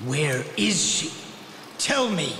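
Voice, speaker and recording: Using a put-on character voice with a fairly high pitch, a man speaks amid clear background noise and a slight echo. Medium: fan dub. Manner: terse, intense.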